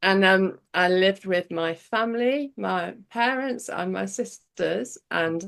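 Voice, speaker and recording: The speech comes with an English accent at a very slow pace. There are hardly any pauses. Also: woman, medium pitch for a woman, ordinary pitch variation. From northwest England, Cheshire. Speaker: pyrography artist. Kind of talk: interview. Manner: halting.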